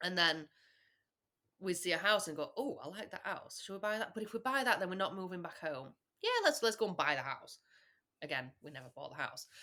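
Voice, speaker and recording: A woman with a northern English accent, bright and sharp in tone, fairly quick, with very wide pitch swings and big swings in loudness. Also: medium pitch for a woman. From England. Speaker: podcast guest. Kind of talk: casual chat.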